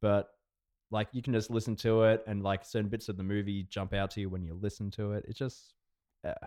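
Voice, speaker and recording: In an Australian accent, a dark, mellow voice talks at a fairly quick pace with monotone, flat intonation on a very clean recording with a silent background. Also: man, fairly low pitch for a man. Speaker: podcast co-host. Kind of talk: casual chat.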